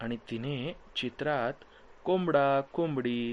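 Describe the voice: The clip features plain reading aloud, its pitch varying in an ordinary way.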